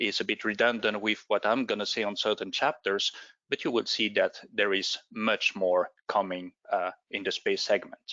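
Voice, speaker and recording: Speaking with a non-native accent, the voice keeps a moderate pace and fairly even intonation. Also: man. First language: not English. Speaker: space agency official. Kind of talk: presentation.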